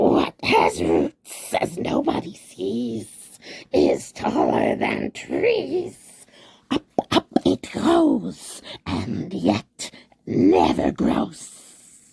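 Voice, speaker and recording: In a put-on character voice, the speaker whispers very slowly, raspy and hissing. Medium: read story. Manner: hissing, whispering, talks to himself.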